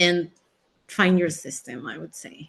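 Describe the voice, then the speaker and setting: A woman with a Spanish accent speaks at a fairly slow pace over a quiet background. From Mexico. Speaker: physician. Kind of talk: webinar interview.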